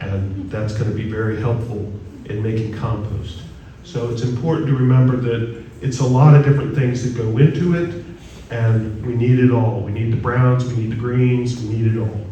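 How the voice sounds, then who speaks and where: A man talks at a moderate pace in a medium pitch with fairly even intonation. Noticeable background noise and audible room echo are present. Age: 60s. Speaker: guest speaker on composting. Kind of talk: presentation at a church forum. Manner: conversational, engaging the audience.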